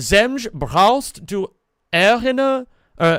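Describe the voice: The speaker has a Bavarian accent and talks at a very slow pace. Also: man.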